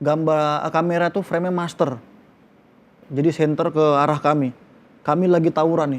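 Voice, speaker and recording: A man speaks at a fairly quick pace in a fairly high pitch, with an animated tone. His loudness stays very even, broken by long, frequent pauses. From Medan, North Sumatra. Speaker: film actor. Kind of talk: interview. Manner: animated storytelling.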